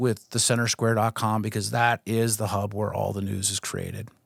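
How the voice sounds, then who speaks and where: Moderate-paced speech from a man with an American accent, very clean recording with a silent background, dry and close with no echo. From Pittsburgh, western Pennsylvania. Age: 50s. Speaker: news executive and former sports writer. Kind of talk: casual interview chat. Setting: podcast studio. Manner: halting, many fillers.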